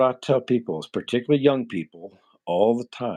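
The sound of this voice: A man speaks with a fairly low pitch and a dark, mellow, nasal tone. His intonation is lively.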